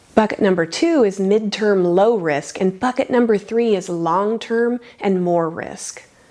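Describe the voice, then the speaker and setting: Over noticeable background noise, a woman with a medium pitch speaks at a fairly slow pace with hardly any pauses and ordinary pitch variation. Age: 50s. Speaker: personal finance youtuber. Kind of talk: scripted narration.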